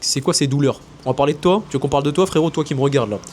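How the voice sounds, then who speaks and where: Very fast and animated in tone, a man talks with ordinary pitch variation. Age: 20s. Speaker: business coach and content creator. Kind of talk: casual monologue to camera.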